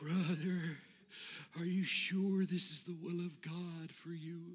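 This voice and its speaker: Using a shaky, put-on character voice, a man speaks at a high pitch and a fairly slow pace. His intonation is monotone and flat. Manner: solemn, holy.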